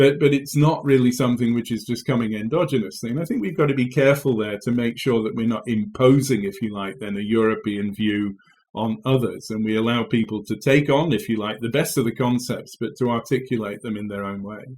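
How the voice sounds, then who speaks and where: This man speaks with an English accent at medium pitch and a fairly quick pace. His pitch varies in an ordinary way, with hardly any pauses. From England. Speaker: agriculture professor. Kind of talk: interview. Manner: halting, many fillers.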